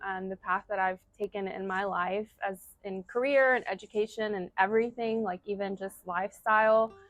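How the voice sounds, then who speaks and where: Speaking in a Spanish accent, a woman keeps a medium pitch and a moderate pace with monotone, flat intonation. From US South, North Carolina. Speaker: community member, event planner. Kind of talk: interview answers. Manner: casual, many fillers.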